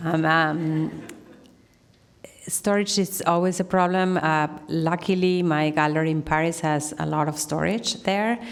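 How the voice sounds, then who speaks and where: The speech comes at a fairly slow pace with fairly even intonation. There is audible room echo. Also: woman. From Argentina. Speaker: artist. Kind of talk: Q&A answer; lecture.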